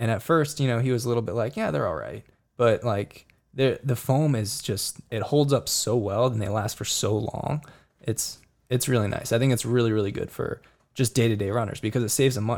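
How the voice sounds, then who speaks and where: In a very clean recording over a silent background, a man speaks in a plain, everyday voice at medium pitch with ordinary pitch variation. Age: 20s. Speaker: professional runner. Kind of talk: casual chat. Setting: studio.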